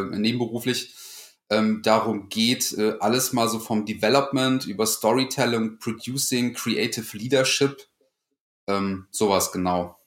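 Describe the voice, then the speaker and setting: A man with an ordinary speaking voice talks at a fairly slow pace, medium in pitch, with fairly even intonation. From Lower Rhine region, Germany, near Dutch border. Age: 30s. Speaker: freelance video editor. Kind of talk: casual interview chat.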